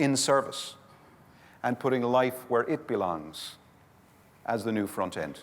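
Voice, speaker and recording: In a Limerick accent, a man talks at medium pitch with ordinary pitch variation. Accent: Irish, Limerick. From Ireland, Limerick. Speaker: community development speaker. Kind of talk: conference workshop talk. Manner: animated.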